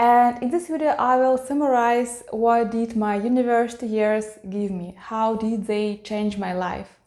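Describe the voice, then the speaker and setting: A woman with a Russian accent speaks at a fairly slow pace, her fairly high voice dark and mellow in tone. She hardly pauses, and her intonation stays fairly even. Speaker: YouTuber, e-learning designer. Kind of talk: personal vlog talk.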